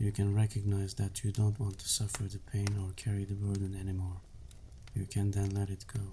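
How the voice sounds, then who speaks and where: Soft-spoken and somewhat breathy, a man talks at a fairly quick pace, fairly low in pitch and monotone, with flat intonation. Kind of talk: book summary narration.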